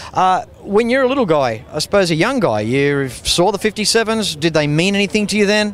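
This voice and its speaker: Speaking with an Australian accent, a man has a high pitch and lively intonation at a fairly quick pace. His loudness stays very even over noticeable background noise. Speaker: car show TV host. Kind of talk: casual interview. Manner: enthusiastic.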